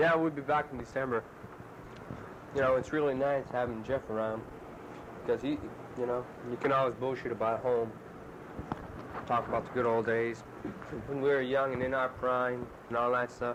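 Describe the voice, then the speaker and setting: Medium pitch from a man at a moderate pace, monotone, flat intonation, long, frequent pauses, and noticeable background noise. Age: young. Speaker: soldier. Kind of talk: casual chat.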